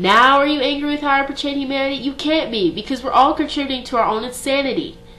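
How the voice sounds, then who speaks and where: With music in the background, a woman speaks very fast in a high pitch, her voice raised and projected. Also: ordinary pitch variation. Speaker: slam poet. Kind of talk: slam poetry performance.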